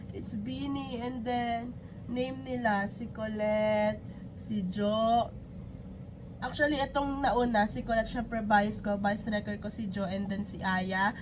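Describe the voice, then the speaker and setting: Fairly high and fairly even in intonation, a woman's voice moves at a fairly slow pace. Audible room echo and noticeable background noise surround her. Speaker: YouTube reactor. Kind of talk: reaction video.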